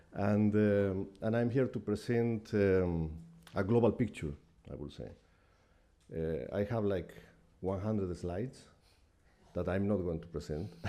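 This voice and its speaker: A man with a non-native accent speaks at a very deep, low pitch with ordinary pitch variation. His tone is dark and mellow, and his pace is fairly slow. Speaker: UN technical advisor. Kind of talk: conference talk.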